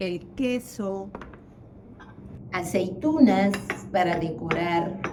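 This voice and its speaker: A woman with a Peruvian accent speaks at a very slow pace, medium in pitch and with lively intonation. The recording carries audible room echo and noticeable background noise. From Peru, Lima. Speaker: teacher and accountant, home cook. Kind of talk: cooking tutorial.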